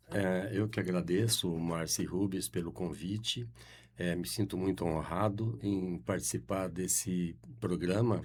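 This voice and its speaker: With vocal fry and lively intonation, a man speaks at a fairly slow pace in a very deep, low voice. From Brazil, Adamantina, São Paulo state. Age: 70s. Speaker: guest, local politics figure. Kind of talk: radio interview. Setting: studio. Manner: halting, many fillers.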